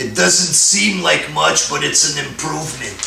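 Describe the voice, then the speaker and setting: This is a man's voice with audible room echo. Light background noise can be heard. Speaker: wrestling fan vlogger. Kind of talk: commentary rant. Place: home room. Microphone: camera far.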